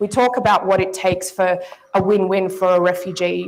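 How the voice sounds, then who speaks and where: In an Australian accent, a woman talks at a moderate pace with a medium pitch. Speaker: panel moderator. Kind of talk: conference panel moderation. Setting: stage with audience. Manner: formal.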